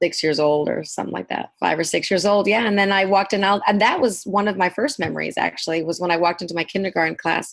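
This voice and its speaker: A woman with an American accent speaks very fast with hardly any pauses, at a medium pitch with ordinary pitch variation and vocal fry. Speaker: hairdresser and salon owner. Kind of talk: podcast interview.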